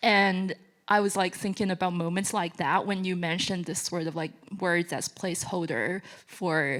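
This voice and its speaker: A woman speaks with a Chinese accent at a medium pitch. Her intonation is fairly even. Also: moderate pace. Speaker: audience member asking a question. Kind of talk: audience question. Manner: hesitant, many fillers.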